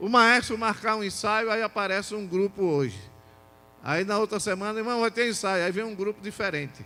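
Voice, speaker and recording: A man speaks in a high, raised, projected voice with a bright, sharp tone. He leaves long, frequent pauses. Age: 60s. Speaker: pastor. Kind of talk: sermon. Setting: church. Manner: animated.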